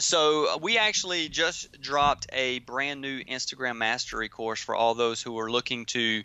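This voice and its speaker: A man with a Southern US accent talks at a medium pitch with ordinary pitch variation and hardly any pauses. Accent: Southern drawl. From US South, Georgia. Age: 20s. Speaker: entrepreneur. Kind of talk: interview. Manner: many fillers and repeated words.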